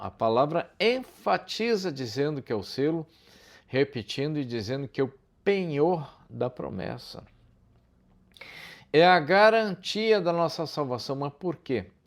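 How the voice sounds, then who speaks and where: On a very clean recording with a silent background, a man with a fairly high pitch speaks at a fairly slow pace, his pitch swinging very widely between long, frequent pauses. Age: 60s. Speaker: preacher. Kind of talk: sermon. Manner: animated.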